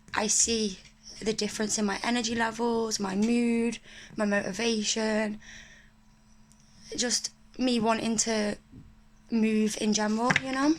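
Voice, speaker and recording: In an English accent, a woman with a fairly high pitch speaks in a flat monotone, leaving long, frequent pauses. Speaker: spiritual video creator. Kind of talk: casual unboxing chat. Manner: whispering.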